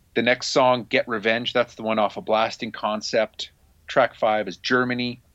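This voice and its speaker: At a moderate pace, a man with a normal speaking voice talks at a medium pitch with fairly even intonation. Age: middle-aged. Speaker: music podcast host. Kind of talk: casual chat.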